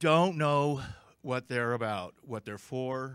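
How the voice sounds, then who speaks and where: A man speaks at a very slow pace with ordinary pitch variation. Behind him the background is quiet. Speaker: conference speaker. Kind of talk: lecture. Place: hall. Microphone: podium.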